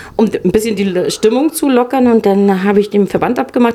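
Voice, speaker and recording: In a northern German accent, a woman talks at a moderate pace and medium pitch with ordinary pitch variation over noticeable background noise. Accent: northern German, still audible. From Mecklenburg-Western Pomerania. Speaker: intensive care nurse. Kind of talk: casual chat. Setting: hotel lounge.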